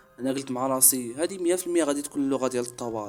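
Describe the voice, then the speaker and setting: A man talking at a very fast pace with ordinary pitch variation, music in the background. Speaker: storyteller. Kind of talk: horror story narration.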